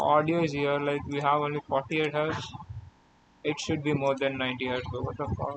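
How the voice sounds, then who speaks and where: A man's fairly high voice in an Indian accent, monotone and flat, over noticeable background noise. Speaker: live-coding streamer. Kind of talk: casual live stream while coding. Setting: live stream. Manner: halting.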